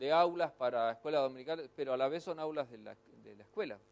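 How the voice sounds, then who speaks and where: This is a man speaking with a Rioplatense accent. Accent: Argentine Spanish (rioplatense, voseo). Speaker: pastor and ministry teacher. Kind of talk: lecture. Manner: fast.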